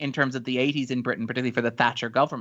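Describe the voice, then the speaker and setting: Over a quiet background, a man with an Irish accent speaks at a medium pitch in a bright, sharp tone. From Ireland. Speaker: writer and critic. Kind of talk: casual interview chat. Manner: chatty.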